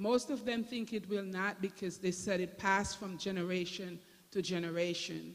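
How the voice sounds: A woman at medium pitch with a Jamaican accent, fairly even intonation and a moderate pace.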